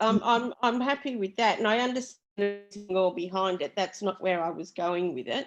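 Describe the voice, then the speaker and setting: Over music in the background, a woman speaks at a medium pitch and a fairly quick pace, with lively intonation and hardly any pauses. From England, moved to Australia at twelve. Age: 60s. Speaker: meeting participant. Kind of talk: group video meeting discussion. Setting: Zoom video call. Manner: halting, many fillers.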